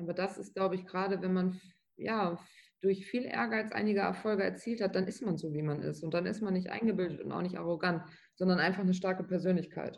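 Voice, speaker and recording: A woman speaks at a very fast pace at a medium pitch, her fairly even intonation marked by vocal fry. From Lower Saxony, Germany (Bückeburg). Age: 20s. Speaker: trainee office clerk and tattooed model. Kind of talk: interview.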